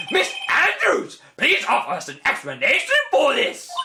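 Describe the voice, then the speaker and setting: At a moderate pace, a man does a put-on character voice at an extremely high pitch. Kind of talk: formal courtroom speech. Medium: game stream.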